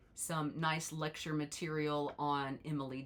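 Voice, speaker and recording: A woman speaks in a very deep, low pitch over noticeable background noise. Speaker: college instructor. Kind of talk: tutorial. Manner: animated.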